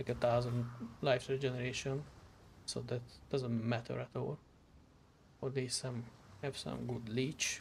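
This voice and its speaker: Speaking in a flat monotone with vocal fry, a man with a Hungarian accent talks at medium pitch and a fairly slow pace, with long, frequent pauses. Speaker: vtuber streamer. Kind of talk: gameplay commentary. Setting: live stream.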